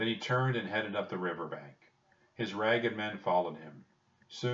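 The clip features plain reading aloud, and the pitch varies in an ordinary way.

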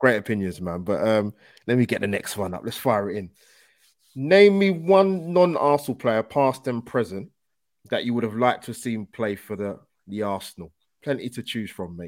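A man's medium-pitched voice in a London accent, at a moderate pace, with very wide pitch swings, in a very clean recording with a silent background. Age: 20s. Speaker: YouTube football podcast host. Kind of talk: casual interview chat. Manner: energetic.

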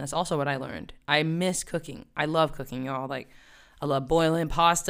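This woman has an American accent and a very deep, low pitch, her tone animated. The recording is very clean with a silent background. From US South, West Virginia. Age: 30s. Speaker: fitness trainer and podcast host. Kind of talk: casual solo podcast talk.

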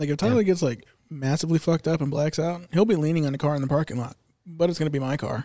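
A man speaks very fast in a fairly high pitch, his dark, mellow tone carrying ordinary pitch variation. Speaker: podcast host. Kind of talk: casual chat.

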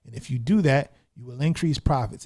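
A man speaks in a somewhat breathy voice. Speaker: gaming podcast host. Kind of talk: solo casual podcast monologue.

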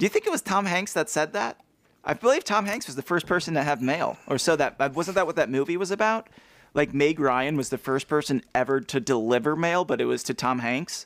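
Recorded dry and close with no echo against a silent background, a man with a fairly high pitch speaks at a fairly quick pace with lively intonation. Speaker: podcast co-host. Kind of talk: casual chat. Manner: quiet.

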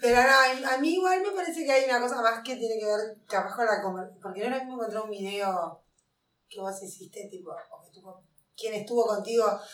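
This woman has a fairly high pitch and lively intonation at a moderate pace. Her loudness swings widely, and the room echo is audible. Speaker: podcast co-host. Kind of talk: casual chat.

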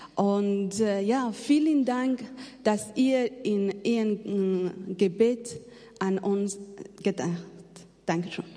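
A woman speaks at a very slow pace, with long, frequent pauses. Her voice sits at a medium pitch and has a dark, mellow tone. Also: ordinary pitch variation. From Afghanistan. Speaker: missionary. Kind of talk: testimony. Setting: church. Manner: halting.

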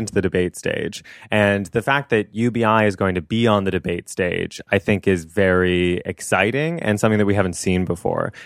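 A man speaks in a normal speaking voice at a fairly low pitch, fairly quickly and with ordinary pitch variation, on a very clean recording with a silent background and a dry, close sound with no echo. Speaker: staff writer. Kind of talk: casual chat.

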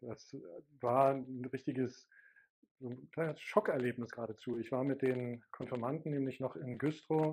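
A man of medium pitch at a moderate pace, his intonation fairly even. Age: 50s. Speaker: pastor. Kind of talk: interview.

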